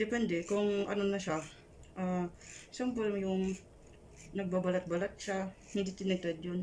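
A woman speaks at medium pitch and a fairly slow pace. Her intonation is monotone and flat, broken by long, frequent pauses. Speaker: microblading artist. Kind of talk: casual chat. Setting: hotel room.

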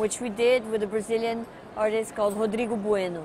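Against noticeable background noise, a woman with fairly high pitch speaks in a monotone, flat intonation, with a dry sound and no echo. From Brazil, São Paulo. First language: Portuguese. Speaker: art patron. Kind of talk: interview monologue. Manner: halting with fillers. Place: hall. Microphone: lapel.

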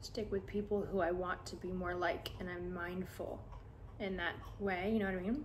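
A soft-spoken woman talks in a monotone, flat intonation. Light background noise is present. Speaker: social media content creator; ASMR creator. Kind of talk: ASMR sleep video, softly spoken chat. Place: home room.

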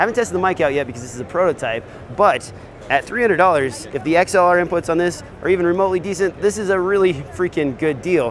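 A man's voice comes through dry with no echo, over light background noise. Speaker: video gear reviewer. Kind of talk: product review commentary. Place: hall.

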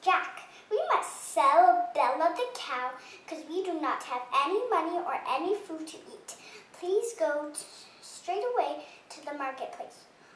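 A put-on character voice moves at a moderate pace with lively intonation, carrying a slight echo. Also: woman, extremely high pitch for a woman. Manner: firm, scolding.

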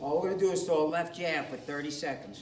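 Noticeable background noise under a man's moderate pace and ordinary pitch variation. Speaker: fitness coach. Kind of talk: workout class instruction. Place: gym. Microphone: camera far.

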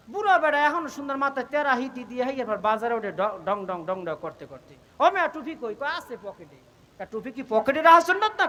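Over noticeable background noise, a man uses a raised, projected voice at an extremely high pitch. His tone is animated, with very wide pitch swings and big swings in loudness. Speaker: Islamic preacher. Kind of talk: sermon.

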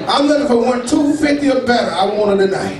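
With audible room echo and noticeable background noise, a man delivers his words fairly slowly, his pitch swinging very widely. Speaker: amateur comedian. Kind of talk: stand-up comedy, improvised roast-style crowd work. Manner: animated, joking, loud and rambling. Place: bar. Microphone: pa.

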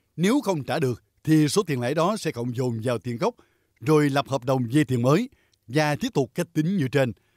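On a very clean recording with a silent background and a dry, close sound with no echo, a man with a plain, everyday voice speaks at a moderate pace and fairly high pitch with lively intonation. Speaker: news narrator. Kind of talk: news reading.

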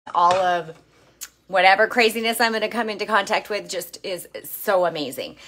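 Her pitch shows ordinary variation. This woman keeps to a moderate pace. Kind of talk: casual vlog chat. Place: kitchen. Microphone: phone near.

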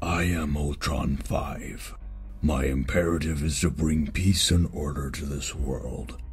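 Using a cartoonish character voice, a man talks at a fairly slow pace with clear background noise behind him. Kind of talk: movie trailer.

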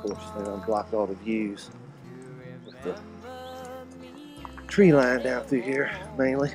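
Clear music plays in the background as a man talks at a fairly slow pace. The sound is dry with no echo. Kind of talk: casual vlog chat. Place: open country. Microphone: phone near.

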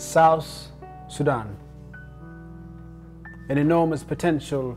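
The voice shows ordinary pitch variation. Faint music plays in the background. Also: man. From South Sudan. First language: not English. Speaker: spoken word poet. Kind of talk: spoken word poetry performance. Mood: emotional, reflective, yearning.

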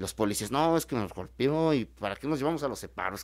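At a medium pitch, a man with a normal speaking voice talks with lively intonation. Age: 20s. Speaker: lawyer, AA member. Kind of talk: casual talk show discussion. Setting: studio.

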